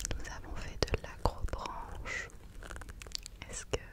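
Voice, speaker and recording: Very slowly, a woman whispers her words. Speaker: ASMR creator. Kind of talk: ASMR chat, telling about her holidays. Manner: whispered, soft-spoken. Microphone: studio mic.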